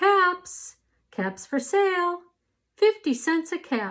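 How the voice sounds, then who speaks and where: A squeaky, put-on character voice from a woman at an extremely high pitch, very slow with lively intonation, on a very clean recording with a silent background. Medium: read story. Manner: calling out his wares.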